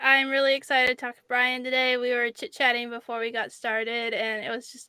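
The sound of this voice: A woman speaks at a fairly quick pace in a fairly high pitch, her monotone, flat intonation carried by a clear, smooth tone that is also bright and sharp. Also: dry, close sound with no echo.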